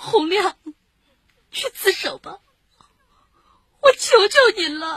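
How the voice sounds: A woman uses a put-on character voice at an extremely high pitch, fairly bright in tone, with lively intonation and a slow pace. The sound is dry and close, with no echo.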